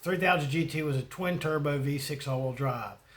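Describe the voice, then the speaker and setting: With a Southern US accent, a man talks at a fairly quick pace, his fairly high pitch showing ordinary pitch variation. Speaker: YouTuber. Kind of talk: casual monologue. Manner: rambling, hesitant.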